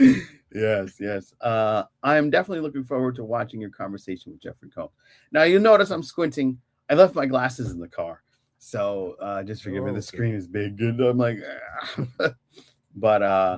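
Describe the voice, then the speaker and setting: A man with a plain, everyday voice talks at a moderate pace with lively intonation and big swings in loudness, on a very clean recording with a silent background. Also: medium pitch for a man. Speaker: podcast host. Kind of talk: casual podcast conversation.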